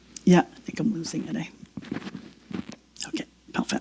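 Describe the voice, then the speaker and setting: At a very slow pace, a woman talks with lively intonation at a medium pitch. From Quebec. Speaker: guest preacher. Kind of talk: sermon. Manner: halting.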